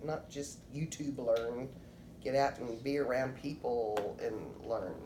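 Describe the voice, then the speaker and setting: Very slow and very deep in pitch, a woman's voice carries fairly even intonation through audible room echo. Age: 60s. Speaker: interviewee. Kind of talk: interview.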